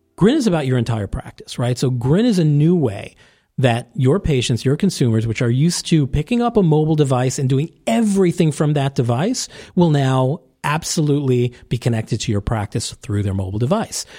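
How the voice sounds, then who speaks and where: A man's fairly high, dark, mellow voice with an American accent, somewhat breathy and lively in intonation, at a fairly quick pace on a very clean recording with a silent background. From New York (Staten Island). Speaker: orthodontist and tech founder. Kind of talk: casual interview. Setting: recorded at a conference.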